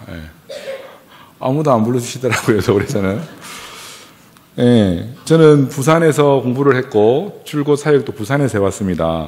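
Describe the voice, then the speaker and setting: Through noticeable background noise, a man at medium pitch talks at a moderate pace with lively intonation and long, frequent pauses. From South Korea, Gyeongsang region. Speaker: pastor. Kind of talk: sermon.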